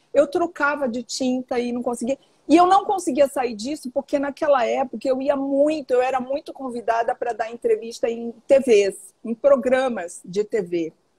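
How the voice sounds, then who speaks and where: Lively in intonation, a woman with a high pitch speaks at a moderate pace with hardly any pauses, in a dry, close sound with no echo. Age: 60s. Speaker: author and teacher on women's health. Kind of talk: interview on live stream. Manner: animated.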